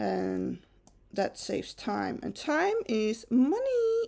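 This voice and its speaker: A woman with a Dutch accent, speaking at a very slow pace. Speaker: photo retoucher. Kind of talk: tutorial. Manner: casual, chatty.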